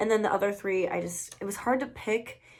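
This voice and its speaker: A woman's medium-pitched voice with vocal fry, ordinary pitch variation and a very fast pace. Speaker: beauty and fragrance YouTuber. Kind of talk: casual product review vlog. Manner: chatty, filler-heavy.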